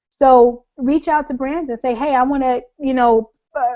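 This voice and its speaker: A woman with a New York accent speaks in a high voice. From US Northeast (Long Island, New York). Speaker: blogger. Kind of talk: webinar talk. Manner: fast; informal.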